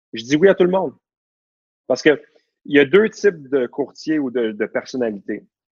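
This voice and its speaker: In a dry, close recording with no echo, a man with a fairly high voice and lively intonation talks at a moderate pace, pausing long and often. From Quebec, Laval. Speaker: real estate broker. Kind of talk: interview conversation. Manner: animated.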